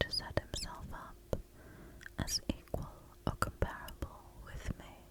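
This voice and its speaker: A very slow whisper against noticeable background noise. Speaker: ASMR creator. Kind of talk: whispered ASMR reading of an epic poem. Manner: whispered, relaxing.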